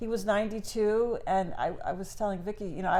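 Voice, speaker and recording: A woman speaks in a dark, mellow tone. Room echo is audible around her voice. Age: 60s. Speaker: grandmother podcast co-host. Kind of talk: casual chat.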